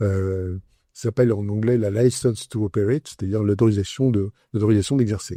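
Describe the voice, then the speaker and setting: Against a quiet background, a man speaks at a fairly low pitch in a dark, mellow tone, somewhat breathy, with a dry, close sound and no echo. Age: 70s. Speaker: entrepreneur, communications agency founder. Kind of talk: interview.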